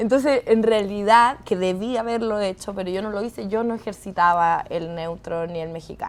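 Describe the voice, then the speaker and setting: Hardly pausing, a woman talks at a moderate pace in an animated tone. Her pitch varies an ordinary amount. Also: medium pitch for a woman. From Chile, San Fernando. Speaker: actress. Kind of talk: casual interview chat.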